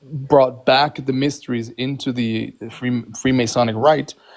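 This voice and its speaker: This man talks at a fairly slow pace in a medium pitch. His intonation is monotone and flat. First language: not English. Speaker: Freemason. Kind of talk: heated debate. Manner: halting.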